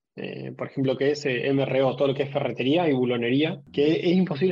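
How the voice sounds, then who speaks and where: A man's fairly high voice, a normal speaking voice, fairly even in intonation at a fairly quick pace. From Argentina (Rosario). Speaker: procurement professional. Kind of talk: panel discussion.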